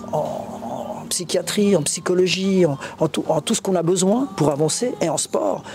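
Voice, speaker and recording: Through noticeable background noise, a high-pitched man talks fairly slowly with lively intonation. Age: 60s. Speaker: covid survivor and association founder. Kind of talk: interview. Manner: halting.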